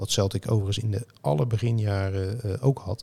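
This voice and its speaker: A man's somewhat breathy voice, dark and mellow in tone, fairly low in pitch, with fairly even intonation. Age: 50s. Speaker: football journalist and author. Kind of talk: casual chat.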